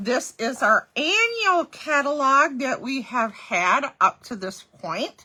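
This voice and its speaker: A woman speaks in a raised, projected voice with a high pitch and a bright, sharp tone. Her pitch swings very widely as she goes at a very slow pace. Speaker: craft demonstrator. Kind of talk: livestream product presentation. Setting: live stream. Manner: casual, chatty.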